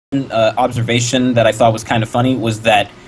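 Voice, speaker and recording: Against noticeable background noise, a man with a medium-pitched voice talks at a moderate pace. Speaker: fandom cartoonist. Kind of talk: casual chat. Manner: stuttering.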